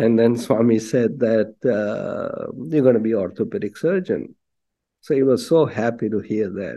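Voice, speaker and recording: A man speaks at medium pitch with a dark, mellow tone. His pace is moderate and his pitch variation ordinary. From India, Bombay. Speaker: physician, devotee. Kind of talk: personal testimony.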